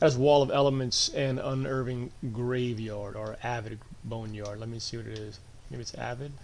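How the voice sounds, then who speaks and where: A soft-spoken man with a medium pitch talks at a moderate pace, his intonation fairly even but his loudness swinging widely. Audible room echo and noticeable background noise are present. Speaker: game streamer. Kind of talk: gameplay tutorial. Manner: louder than usual.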